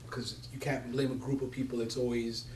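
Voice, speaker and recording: A man's very fast, monotone speech with flat intonation, medium in pitch, in a Somali accent, with audible room echo. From Somalia, raised partly in Italy and Canada. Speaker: community youth worker and speaker. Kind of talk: personal testimony talk.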